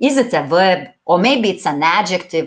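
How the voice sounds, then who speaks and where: A woman's fairly low voice with lively intonation, fairly slow in pace, over a quiet background. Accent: Lithuanian. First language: Lithuanian. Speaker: English teacher. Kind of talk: online exam-prep lecture. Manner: halting, with fillers.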